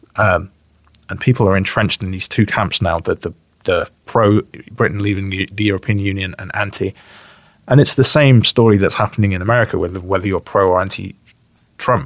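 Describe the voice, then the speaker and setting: A man with an English Midlands accent talks at a fairly quick pace and fairly low pitch with fairly even intonation. The recording is very clean and dry, close with no echo, over a silent background. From West Midlands, England (Bromsgrove, near Birmingham). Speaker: rapper and YouTuber. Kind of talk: casual chat.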